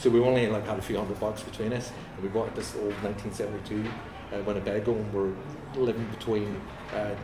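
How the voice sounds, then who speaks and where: Amid noticeable background noise and audible room echo, a man with a fairly low pitch talks very fast in a monotone, flat intonation. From Northern Ireland, Ballymena. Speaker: musician. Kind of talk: casual interview. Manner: halting.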